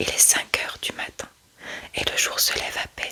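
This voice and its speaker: Amid noticeable background noise, a woman whispers at a fairly slow pace. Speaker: ASMR creator reading aloud from her own book. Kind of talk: whispered true-crime reading. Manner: whispered, soft, slow.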